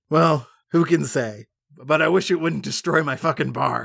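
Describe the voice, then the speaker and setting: Putting on a character voice, a man speaks raspily at a moderate pace, his pitch fairly high with ordinary variation. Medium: actual play.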